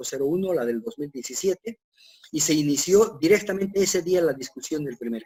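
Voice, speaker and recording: A man with lively intonation, at a fairly quick pace. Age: 60s. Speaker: civil engineer. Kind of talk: lecture. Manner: halting, many fillers.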